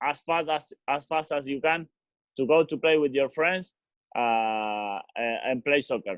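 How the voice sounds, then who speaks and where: At a fairly slow pace, a man with an Argentine accent talks with ordinary pitch variation. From Argentina, Rosario. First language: Spanish. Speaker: professional footballer. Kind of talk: casual talk to kids. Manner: halting.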